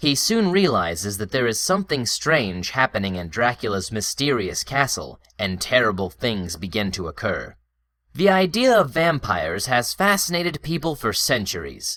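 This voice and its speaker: Very clean, silent-background recording of a man with an American accent, fairly high-pitched and bright and sharp in tone, with vocal fry, very wide pitch swings and a moderate pace. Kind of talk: listening test narration.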